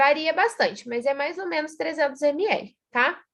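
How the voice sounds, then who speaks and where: Her intonation lively and her pace fairly slow, a woman speaks against a quiet background. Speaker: teacher. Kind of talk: lecture.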